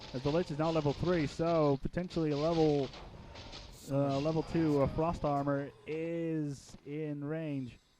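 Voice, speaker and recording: A man with a fairly high pitch against noticeable background noise. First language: not English. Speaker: game commentator. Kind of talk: live commentary. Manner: animated.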